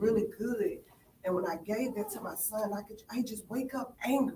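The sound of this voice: A woman's voice has a slightly mellow tone. Audible echo fills the room.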